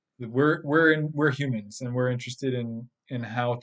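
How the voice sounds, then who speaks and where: A man speaks in a normal speaking voice at a moderate pace, with medium pitch, fairly even intonation and a quiet background. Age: 30s. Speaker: podcast host and spiritual teacher. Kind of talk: monologue podcast. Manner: casual, with filler words and repetitions.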